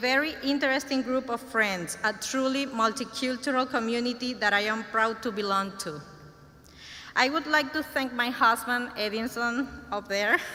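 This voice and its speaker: A woman's high voice in a Spanish accent, with fairly even intonation and noticeable background noise. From Venezuela. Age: 30s. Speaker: graduating student. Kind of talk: graduation speech. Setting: ceremony stage with audience. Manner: halting, self-correcting.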